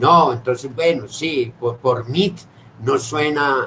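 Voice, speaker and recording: A man's voice at a very slow pace, with ordinary pitch variation. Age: 60s. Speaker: theatre director. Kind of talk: casual chat. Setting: video call.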